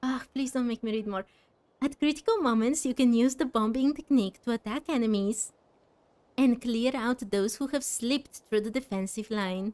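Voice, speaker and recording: A dry, close sound with no echo, its pitch variation ordinary. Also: woman. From Bulgaria. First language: Bulgarian. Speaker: video game streamer. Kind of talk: live game stream with chat. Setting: live stream late at night. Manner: scattered, less calm than usual.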